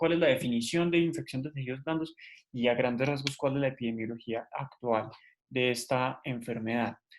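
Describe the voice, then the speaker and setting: A man's voice with ordinary pitch variation. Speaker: medical student tutor. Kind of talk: lecture. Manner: fast.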